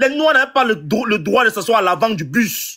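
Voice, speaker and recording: Raising and projecting his voice, a man speaks with a Cameroonian accent at a high pitch, his tone bright and sharp, his intonation lively and his pace moderate. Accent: Bamileke Cameroonian. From Cameroon, Bamileke region (West). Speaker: debate participant. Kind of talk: heated debate.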